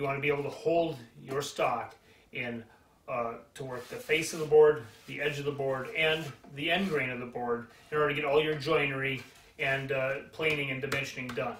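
A man at a moderate pace with fairly even intonation, amid light background noise and audible room echo. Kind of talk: tutorial. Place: workshop. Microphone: camera far.

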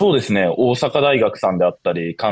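Against a quiet background, a man speaks in a dry sound with no echo. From Shizuoka, Japan; Japan. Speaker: university student; guest. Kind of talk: interview. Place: home room. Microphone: video call.

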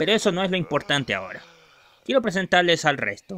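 This is a man doing a cartoonish character voice. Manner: sarcastic, then panicky.

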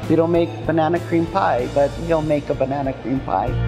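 A woman's very deep, low voice with clear music in the background. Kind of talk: interview answer. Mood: warm and proud. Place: cafe. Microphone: lapel.

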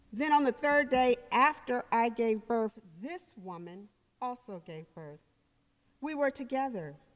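A woman speaks at a fairly slow pace in a high voice over a quiet background. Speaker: minister reading scripture. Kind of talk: scripture reading. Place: church.

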